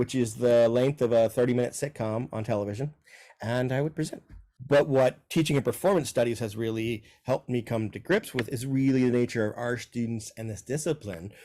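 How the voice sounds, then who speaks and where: At a fairly quick pace, a man speaks with a dark, mellow tone, a medium pitch and ordinary pitch variation. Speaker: professor. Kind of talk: interview monologue. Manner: fast.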